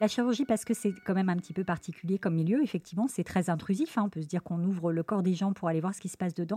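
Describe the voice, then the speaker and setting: Somewhat breathy and dark, mellow in tone, a woman talks at a very fast pace with ordinary pitch variation. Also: medium pitch for a woman, dry, close sound with no echo. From Lyon, France. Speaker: surgeon. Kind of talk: interview.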